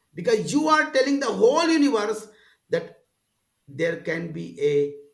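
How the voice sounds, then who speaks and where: In a room with audible echo, a man talks at a moderate pace, his high voice making very wide pitch swings. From rural India. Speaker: spiritual teacher. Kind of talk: casual interview conversation. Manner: halting.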